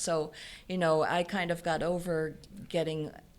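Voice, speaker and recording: A woman talks at a moderate pace and fairly low pitch. She has an ordinary speaking voice. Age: 60s. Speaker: business founder. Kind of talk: interview.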